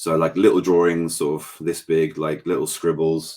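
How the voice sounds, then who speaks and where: A man speaks with an English accent. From England. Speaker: painter. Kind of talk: casual chat.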